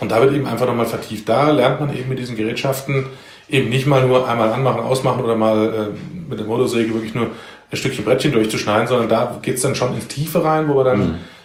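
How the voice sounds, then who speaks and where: A man talks at a very fast pace with fairly even intonation. There is noticeable background noise and audible room echo. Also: medium pitch for a man. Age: 40s. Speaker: civil protection volunteer leader. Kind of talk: casual interview. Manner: halting, many filler sounds.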